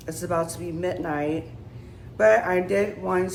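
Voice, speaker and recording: Audible room echo surrounds this voice. A woman speaks at a fairly low pitch. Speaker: vlogger. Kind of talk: casual vlog to camera. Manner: unscripted, halting with fillers.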